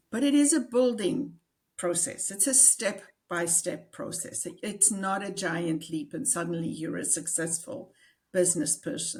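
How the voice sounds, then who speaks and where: In a South African accent, a woman speaks fairly slowly in a somewhat breathy, medium-pitched voice with very wide pitch swings. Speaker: executive and business coach. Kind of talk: interview.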